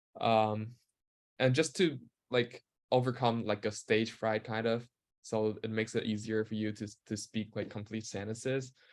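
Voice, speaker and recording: With a non-native accent, a man speaks at a medium pitch and a moderate pace. His intonation is monotone and flat. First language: not English. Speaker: university student. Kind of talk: webinar Q&A. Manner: halting.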